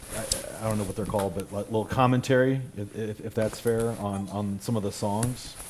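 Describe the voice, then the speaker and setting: Over noticeable background noise, a man with a fairly low voice speaks at a fairly quick pace with fairly even intonation. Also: hardly any pauses. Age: 50s. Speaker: podcast host. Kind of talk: interview conversation. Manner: halting, many fillers.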